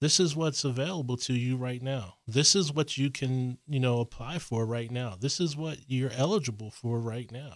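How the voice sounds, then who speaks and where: Here is a man with an unremarkable speaking voice and an American accent. His pitch is medium, with ordinary pitch variation. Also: very clean recording, silent background. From Harrisburg, Pennsylvania. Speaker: veterans affairs official, Navy veteran. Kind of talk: radio interview.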